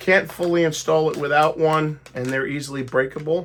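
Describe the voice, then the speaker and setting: Speaking fairly slowly, a woman uses a very deep, low pitch. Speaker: retro gaming YouTuber. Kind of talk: tutorial. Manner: casual, conversational.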